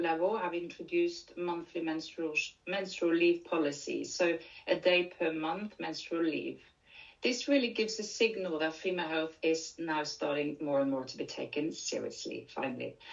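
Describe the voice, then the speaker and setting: A woman with a Norwegian accent speaks at a moderate pace in a fairly low pitch with ordinary pitch variation, amid noticeable background noise. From Norway. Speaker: leadership and menopause coach. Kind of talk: conference presentation.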